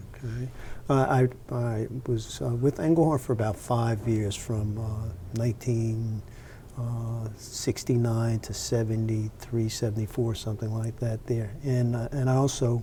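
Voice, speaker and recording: Speaking with an American accent, a man uses a medium pitch, fairly even intonation and a fairly slow pace. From New Jersey, Montclair. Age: 60s. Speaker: retired computer professional. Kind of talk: interview. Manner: halting, many fillers.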